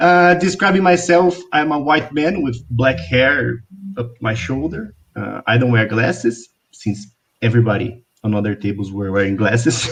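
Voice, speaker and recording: At a fairly slow pace, a man with a Portuguese accent talks at a medium pitch, somewhat breathy, with lively intonation. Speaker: journalist and podcaster. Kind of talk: online panel talk. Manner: halting.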